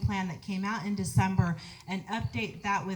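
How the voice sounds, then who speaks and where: The pace is moderate. The voice sounds somewhat breathy. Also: woman. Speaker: political candidate. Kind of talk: candidate forum answer.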